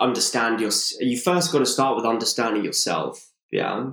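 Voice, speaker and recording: A man with a London accent, medium pitch, ordinary pitch variation and a fairly slow pace. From London, England. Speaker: co-living entrepreneur. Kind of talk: interview. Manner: frequent fillers and restarts.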